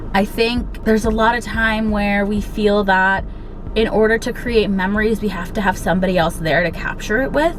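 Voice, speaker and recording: A woman's medium-pitched voice with fairly even intonation, music in the background and audible room echo. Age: 20s. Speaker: lifestyle vlogger. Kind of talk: casual pep talk. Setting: in a car.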